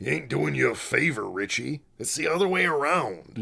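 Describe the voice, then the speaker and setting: Using a put-on character voice, a man talks at a moderate pace, raspy and with very wide pitch swings. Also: medium pitch for a man. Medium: read story. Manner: brash, slangy.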